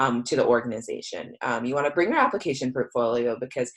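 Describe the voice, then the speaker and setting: A woman's voice with an American accent. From United States. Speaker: career coach. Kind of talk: presentation. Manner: fast; hesitant, many fillers.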